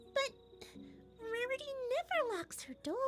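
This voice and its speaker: A put-on character voice, female-sounding and squeaky, pitched extremely high. It moves at a moderate pace over loud music in the background. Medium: read story. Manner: cheerful.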